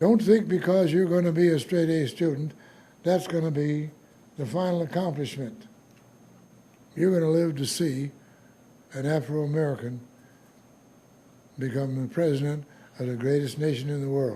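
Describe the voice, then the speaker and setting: A man's fairly high voice at a moderate pace, with long, frequent pauses, ordinary pitch variation, a dark, mellow tone and some breathiness. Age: 90s. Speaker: war veteran. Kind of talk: speech.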